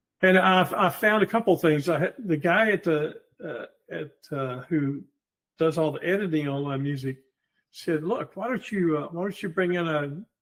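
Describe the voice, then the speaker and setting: A man with a Southern US accent talks in a high voice at a moderate pace, with ordinary pitch variation and long, frequent pauses. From US South, Georgia. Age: 70s. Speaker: war veteran and amateur composer. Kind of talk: interview conversation.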